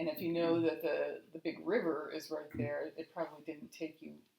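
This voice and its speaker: A woman speaks at a moderate pace. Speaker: family history channel host. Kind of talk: interview question.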